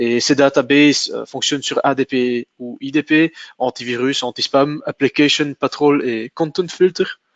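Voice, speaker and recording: Recorded with a dry, close sound and no echo, a man speaks with fairly even intonation. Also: fairly high pitch for a man, fairly slow pace. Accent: Flemish. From Flanders, Belgium. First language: Dutch (speaking French). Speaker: sales manager presenting a tech webinar. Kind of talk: technical webinar presentation. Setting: online webinar. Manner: halting, many hesitations.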